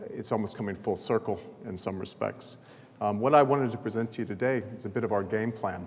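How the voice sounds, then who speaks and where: A man's fairly low voice carries audible room echo. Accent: American. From US South, New Orleans. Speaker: sports event chief executive. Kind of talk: conference presentation. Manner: halting, many fillers.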